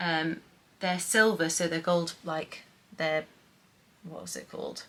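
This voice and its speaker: With a British accent, a woman speaks in a medium pitch. Her pace is moderate. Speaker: lifestyle vlogger. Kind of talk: haul / gift guide vlog. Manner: casual, chatty; speaking quietly.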